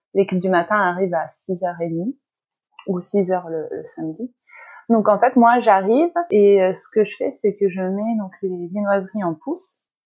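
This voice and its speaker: Her pace is fairly slow. The woman speaks at a medium pitch with ordinary pitch variation. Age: 30s. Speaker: pastry chef and shop owner. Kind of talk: interview. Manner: hesitant with frequent fillers.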